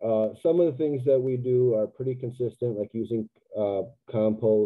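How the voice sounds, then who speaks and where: A man with an American accent at a moderate pace, medium pitch and ordinary pitch variation, against a quiet background. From US Midwest. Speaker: land management business owner. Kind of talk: webinar presentation. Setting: video call. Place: home room. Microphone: webcam.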